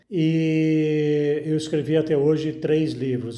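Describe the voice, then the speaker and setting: A man's voice with audible room echo. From Brazil, Minas Gerais. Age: 60s. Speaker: author. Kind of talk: interview.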